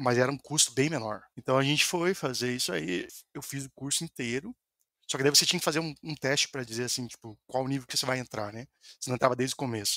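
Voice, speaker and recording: A man talks at a very fast pace in a bright, sharp tone, with medium pitch and ordinary pitch variation. The sound is dry and close with no echo, on a very clean recording with a silent background. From Brazil, Paraná. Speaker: software developer. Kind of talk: podcast interview.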